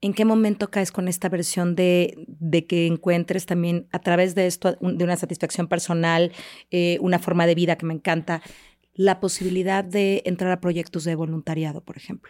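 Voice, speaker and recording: A woman's fairly low, monotone, flat voice at a moderate pace, in a very clean recording with a silent background. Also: dry, close sound with no echo. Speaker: podcast host. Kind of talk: interview, friendly conversation. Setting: studio.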